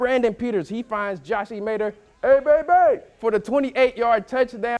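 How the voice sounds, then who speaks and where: Upbeat and energetic in tone, a man talks at a fairly quick pace with lively intonation. The recording is very clean, with a silent background. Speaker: sports reporter. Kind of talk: TV sports news reporting. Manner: upbeat, energetic, punny.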